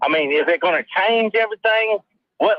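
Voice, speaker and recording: A Louisiana accent at a fairly quick pace. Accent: Southern US (Louisiana). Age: 60s. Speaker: caller. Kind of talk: phone-in question. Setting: phone call. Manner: halting.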